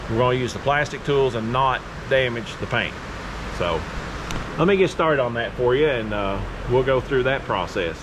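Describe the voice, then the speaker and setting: A man speaks at a medium pitch and a moderate pace with ordinary pitch variation. Noticeable background noise is present. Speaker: DIY video maker. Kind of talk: tutorial. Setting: metal building workshop. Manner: loud.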